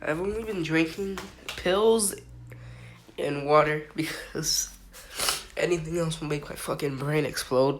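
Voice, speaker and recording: Amid noticeable background noise and audible room echo, a woman with a very deep, low pitch speaks at a fairly slow pace, with long, frequent pauses. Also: ordinary pitch variation. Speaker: podcast host. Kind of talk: casual monologue. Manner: animated.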